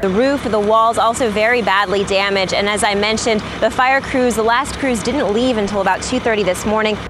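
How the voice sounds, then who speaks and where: Speech comes at a fairly quick pace with hardly any pauses, very even loudness and fairly even intonation. Noticeable background noise runs behind it. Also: woman, fairly high pitch for a woman. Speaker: news anchor and reporter. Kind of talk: TV news read. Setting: outdoors, live field report.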